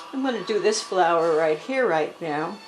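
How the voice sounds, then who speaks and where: Noticeable background noise and audible room echo surround a woman speaking with ordinary pitch variation. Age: 70s. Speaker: watercolor artist. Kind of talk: tutorial. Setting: at home with music playing. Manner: hesitant, with many fillers.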